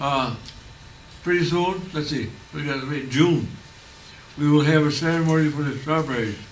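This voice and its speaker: A man with a fairly high pitch talks at a moderate pace with fairly even intonation and long, frequent pauses, over noticeable background noise and audible room echo. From Onondaga Nation, upstate New York. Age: 80s+. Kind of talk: public talk. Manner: halting.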